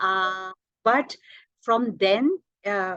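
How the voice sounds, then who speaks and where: A woman speaks with a Marathi accent and lively intonation. The background is quiet. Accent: Indian English, Marathi. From India, Maharashtra. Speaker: language teacher, polyglot. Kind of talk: interview. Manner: hesitant, many fillers.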